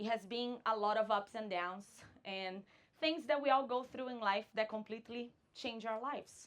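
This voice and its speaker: A woman with a Brazilian Portuguese accent, moderate pace and ordinary pitch variation. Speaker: vanlife content creator. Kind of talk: conference talk.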